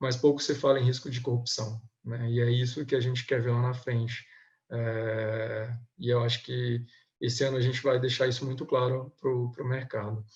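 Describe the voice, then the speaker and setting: At a moderate pace, a man speaks at a medium pitch in a somewhat breathy voice with monotone, flat intonation. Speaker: government compliance auditor. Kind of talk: webinar presentation. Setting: online webinar. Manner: hesitant, many filler sounds.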